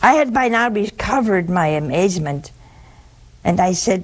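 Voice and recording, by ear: At a moderate pace, a woman speaks at a medium pitch with lively intonation.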